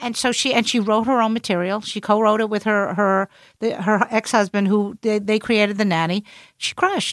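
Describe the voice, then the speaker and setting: A woman speaks in a Brooklyn accent at a moderate pace. Her pitch is fairly high, and her intonation is fairly even. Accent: New York (Brooklyn). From Brooklyn, New York. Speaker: comedian. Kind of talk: casual chat.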